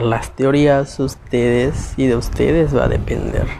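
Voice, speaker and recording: At a very slow pace, a man talks while noticeable background noise can be heard. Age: 20s. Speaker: podcast host. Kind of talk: solo monologue on conspiracy theories. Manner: halting, self-correcting.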